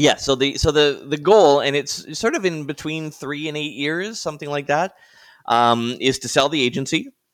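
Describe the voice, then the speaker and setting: A man with an unremarkable speaking voice speaks at a fairly high pitch and moderate pace in a very clean recording with a silent background. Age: 50s. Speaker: podcaster, marketing agency owner, former radio broadcaster. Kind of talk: interview.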